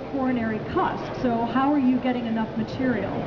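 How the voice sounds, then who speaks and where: A woman speaks fairly quickly while loud noise fills the background. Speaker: corporate presenter. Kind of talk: live trade show presentation. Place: hall. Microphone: headset.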